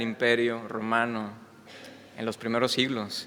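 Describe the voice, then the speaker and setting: The voice has a bright, sharp tone and a slight Mexican accent, moving at a fairly slow pace. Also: man. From Mexico. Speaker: visiting preacher. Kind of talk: sermon. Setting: church. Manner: hesitant, many fillers.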